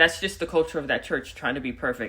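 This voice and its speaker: A woman speaks in a very deep, low voice with ordinary pitch variation. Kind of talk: personal testimony monologue. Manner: loud; urban vernacular speech.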